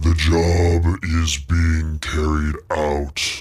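Using a put-on character voice, a man booms in a very deep, low pitch with monotone, flat intonation.

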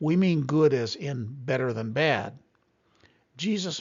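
With lively intonation and a somewhat breathy sound, a man speaks fairly slowly at a fairly high pitch. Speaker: Bible teacher. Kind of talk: recorded Bible teaching.

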